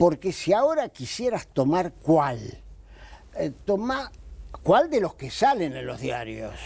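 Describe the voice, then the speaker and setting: In an Argentine accent, a man speaks at a very slow pace with long, frequent pauses, his high pitch making very wide swings and his loudness shifting in big swings. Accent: Argentine Spanish (Rioplatense). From Argentina. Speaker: anti-corruption lawyer. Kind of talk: TV interview. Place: studio. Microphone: lapel.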